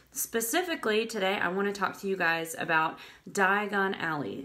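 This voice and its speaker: Noticeable background noise accompanies a woman speaking at a moderate pace in a medium pitch with ordinary pitch variation. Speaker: travel blogger. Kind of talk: casual live-stream talk. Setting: live video stream. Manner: chatty, with filler words.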